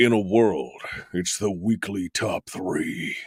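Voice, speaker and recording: A man uses a put-on character voice, pitched fairly low. He speaks at a fairly slow pace, and the sound is dry and close with no echo. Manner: dramatic.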